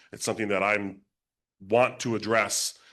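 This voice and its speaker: A man with a bright, sharp tone speaks at a very fast pace. His intonation is fairly even, and the background is quiet. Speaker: political candidate. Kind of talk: candidate forum answer. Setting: town hall forum with audience.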